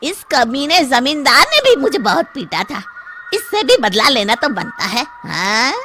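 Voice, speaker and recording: Someone performs a cartoonish character voice at a moderate pace. Background noise is clearly heard. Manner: whiny, vengeful.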